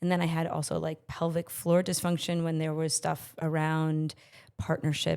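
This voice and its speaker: A woman speaks with a very deep, low voice on a very clean recording with a silent background. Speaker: podcast guest, healing coach. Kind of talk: casual interview conversation.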